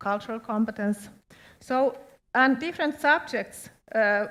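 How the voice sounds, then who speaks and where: The speaker has a Finnish accent. The recording is very clean, with a silent background. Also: woman. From Finland. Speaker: education official. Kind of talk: presentation.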